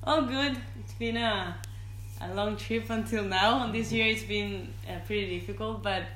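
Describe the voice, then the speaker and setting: Someone with a Spanish accent speaks at a fairly slow pace over noticeable background noise. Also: woman. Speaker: professional surfer. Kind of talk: casual interview. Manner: laughs often.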